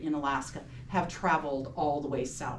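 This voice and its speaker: Speaking fairly quickly, a woman is heard amid audible room echo and noticeable background noise. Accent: West Coast US. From US Pacific Northwest, Seattle area. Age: 60s. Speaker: local historical society president. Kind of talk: recorded public talk.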